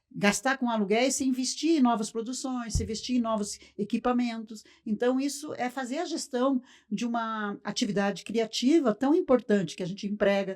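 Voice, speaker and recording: This woman has an ordinary speaking voice, pitched fairly high, with ordinary pitch variation at a moderate pace. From Brazil, Paraná (Cascavel). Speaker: circus owner. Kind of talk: podcast interview. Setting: studio.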